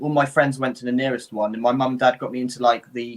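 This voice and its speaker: Talking at a very fast pace, a man with an English accent keeps to a medium pitch. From England. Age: 30s. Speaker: livestream co-host. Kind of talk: casual chat.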